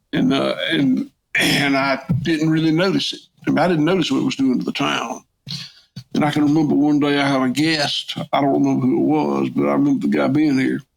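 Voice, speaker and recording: A man speaks at a fairly quick pace with very even loudness. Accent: Southern US. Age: 60s. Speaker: farmer. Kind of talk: interview. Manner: halting, repetitive.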